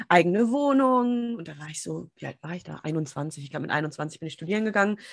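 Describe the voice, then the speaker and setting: A woman's voice swings very widely in pitch. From Germany, small town. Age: 30s. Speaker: business and empowerment coach. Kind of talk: casual interview. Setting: video call.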